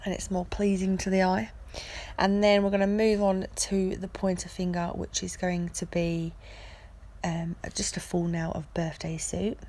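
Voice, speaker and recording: The woman's voice is medium in pitch, somewhat breathy and dark and mellow in tone, with fairly even intonation at a moderate pace. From England, Essex. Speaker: nail technician. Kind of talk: tutorial.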